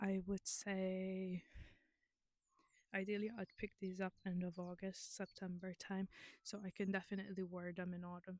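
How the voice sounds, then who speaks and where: Flat, monotone woman's voice at medium pitch with a non-native accent, fairly slow, in a dry, close sound with no echo. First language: not English. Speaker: knitting vlogger. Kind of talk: casual chat. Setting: outdoors. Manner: chatty, hesitant with fillers.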